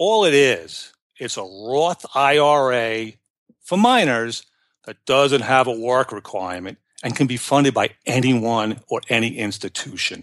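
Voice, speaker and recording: A man talks at a medium pitch. Behind him, all is quiet. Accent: New York. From New York. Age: 50s. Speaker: personal finance blogger. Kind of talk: casual interview.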